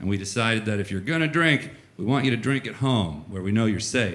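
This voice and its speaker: A man with an American accent talks at a fairly quick pace in a bright, sharp tone, his pitch swinging very widely, with audible room echo around him. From Florida, small town. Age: 30s. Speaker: comedian. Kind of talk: stand-up. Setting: stage with audience.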